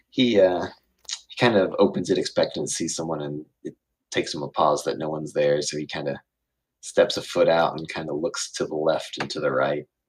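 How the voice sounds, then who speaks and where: A man talks at a fairly quick pace. His loudness swings widely from moment to moment. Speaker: game master. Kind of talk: tabletop role-play narration. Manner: quieter than usual; hesitant, many fillers.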